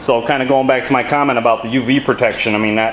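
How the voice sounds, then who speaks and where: A man's flat, monotone delivery over light background noise. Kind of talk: tutorial commentary. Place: garage. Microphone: phone near.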